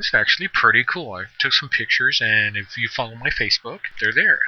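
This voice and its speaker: Noticeable background noise runs through the clip. Over it, a man can be heard talking. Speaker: podcaster and gamer. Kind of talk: solo podcast monologue. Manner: casual, conversational.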